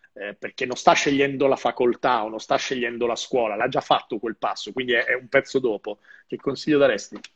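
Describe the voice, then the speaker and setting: Speaking at a fairly quick pace, a man uses an ordinary speaking voice with medium pitch and fairly even intonation. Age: 30s. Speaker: live show host, marketing author. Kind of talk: casual interview. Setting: live video stream.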